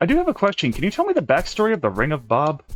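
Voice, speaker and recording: A man at a very fast pace, animated in tone, with very wide pitch swings. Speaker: gaming YouTuber. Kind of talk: let's play commentary. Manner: animated, hyper; stuttering at times.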